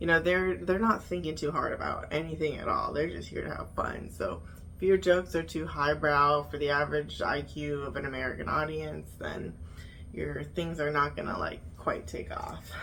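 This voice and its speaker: Audible room echo hangs around a woman who talks at a moderate pace. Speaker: YouTuber reviewing reality TV. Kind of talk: casual vlog review. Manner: animated.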